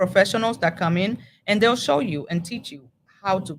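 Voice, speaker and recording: Talking at a very fast pace, a woman with a Spanish accent shows ordinary pitch variation. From Dominican Republic. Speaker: library regional manager. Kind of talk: interview. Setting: public library.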